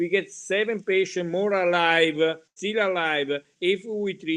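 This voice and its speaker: Speaking fairly slowly, a man talks with an Italian accent. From Italy. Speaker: hematology professor. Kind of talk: lecture. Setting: webinar. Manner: halting.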